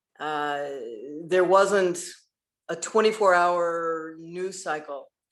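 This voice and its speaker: Very slow speech in an American accent carries fairly even intonation, with audible room echo around it. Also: woman, fairly low pitch for a woman. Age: 60s. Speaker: LGBTQ activist. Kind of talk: panel discussion. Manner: halting.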